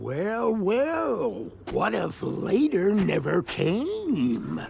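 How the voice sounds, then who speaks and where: A cartoonish character voice talks at a very slow pace over clear background noise. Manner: boastful, macho.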